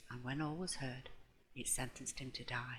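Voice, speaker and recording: Soft-spoken delivery at a moderate pace. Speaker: audiobook reader. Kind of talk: ASMR audiobook reading.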